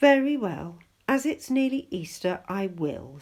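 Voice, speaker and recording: A female-sounding, put-on character voice speaks at a fairly slow pace. Its fairly high pitch swings very widely. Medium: read story.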